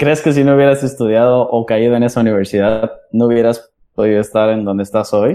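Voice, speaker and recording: A man speaks at a fairly quick pace in a medium-pitched voice with a dark, mellow tone, his intonation fairly even and his loudness very even. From Mexico City. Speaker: podcast host. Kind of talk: casual chat.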